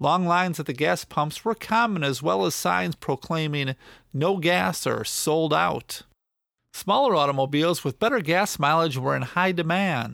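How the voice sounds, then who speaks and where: A man with a plain, everyday voice, fairly high in pitch, with lively intonation, on a very clean recording with a silent background. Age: 50s. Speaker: podcast host and storyteller. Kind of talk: scripted narration.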